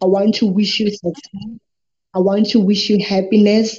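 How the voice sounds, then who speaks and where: Somewhat breathy and fairly high-pitched, a woman delivers her words at a moderate pace. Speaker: podcast host. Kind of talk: interview.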